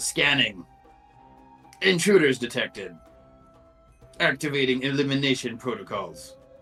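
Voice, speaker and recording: Using a robotic, put-on character voice at medium pitch, a man talks at a moderate pace with long, frequent pauses while faint music plays in the background. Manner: nasty, threatening.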